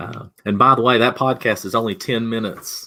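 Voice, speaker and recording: A man speaks with a Southern US accent at a fairly quick pace. His tone is bright and sharp, with ordinary pitch variation. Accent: Southern US twang. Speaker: digital marketing consultant. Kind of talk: webinar presentation.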